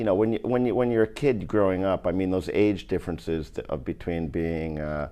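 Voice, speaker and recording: A man with a slight New York accent speaks in a very deep, low voice. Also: lively intonation, fairly quick pace, hardly any pauses. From New York State (Bronx, then Ulster County). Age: 60s. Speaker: former pro soccer player and coach. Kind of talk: casual interview chat.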